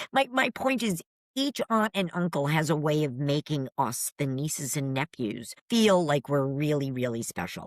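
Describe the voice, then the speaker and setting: A woman's very deep, low voice with a New England accent, at a moderate pace with lively intonation, hardly any pauses and a dry, close sound with no echo. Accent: New England American. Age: 60s. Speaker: paranormal investigator. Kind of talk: casual chat.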